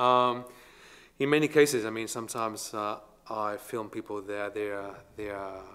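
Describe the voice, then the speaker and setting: Bright and sharp in tone, a man speaks at a moderate pace with a fairly low pitch and fairly even intonation. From Spain, Barcelona. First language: Spanish or Catalan. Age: 40s. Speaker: artist. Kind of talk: interview. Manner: halting.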